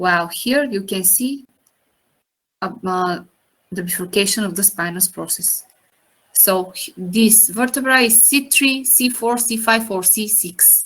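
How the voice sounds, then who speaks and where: A woman with a non-native accent speaks at a fairly slow pace, her bright, sharp tone showing ordinary pitch variation. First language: not English. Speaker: anatomy teacher. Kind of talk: lecture. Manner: halting.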